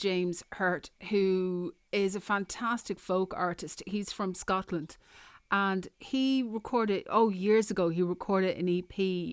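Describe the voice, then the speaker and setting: In a very clean recording with a silent background and a dry, close sound with no echo, a woman with an Irish accent speaks at a fairly slow pace and a medium pitch. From Ireland. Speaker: radio host. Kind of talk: interview. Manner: casual.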